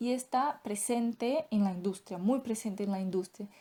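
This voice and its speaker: In a Brazilian accent, a woman speaks at a moderate pace with a fairly high pitch and ordinary pitch variation. Her tone is dark and mellow, on a very clean recording with a silent background. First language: Portuguese (speaking Spanish). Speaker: doctoral student in veterinary science. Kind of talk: lecture. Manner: hesitant, with filler sounds.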